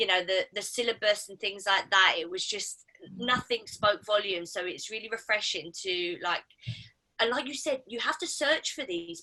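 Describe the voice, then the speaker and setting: With a bright, sharp tone, a woman speaks at a moderate pace and medium pitch, her lively intonation paired with big swings in loudness. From South East London. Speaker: actress, audience member. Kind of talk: audience comment at a live talk. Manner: halting, with many fillers.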